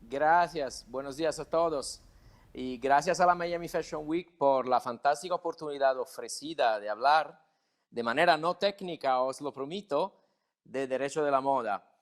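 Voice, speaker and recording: This man has a fairly high pitch and ordinary pitch variation. He speaks with an Italian accent. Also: fairly slow pace, very clean recording, silent background. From Italy. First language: Italian (speaking Spanish). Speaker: lawyer, panel moderator. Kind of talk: panel moderation.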